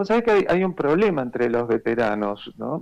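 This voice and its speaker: A man is talking. The pitch moves through very wide swings. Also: quiet background. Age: 70s. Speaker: war veteran and neurologist. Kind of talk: interview testimony. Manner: hesitant, with many fillers.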